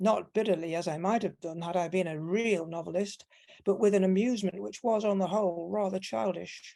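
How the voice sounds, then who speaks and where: A woman with a Manchester accent speaks at a moderate pace in a medium pitch, with a dark, mellow tone and ordinary pitch variation. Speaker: academic conference panelist. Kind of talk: conference paper reading. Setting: online conference.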